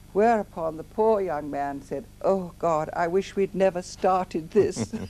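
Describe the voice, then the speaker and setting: A woman's dark, mellow tone at a fairly slow pace. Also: medium pitch for a woman, ordinary pitch variation. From England. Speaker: memoirist recalling life in Nazi Germany. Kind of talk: interview.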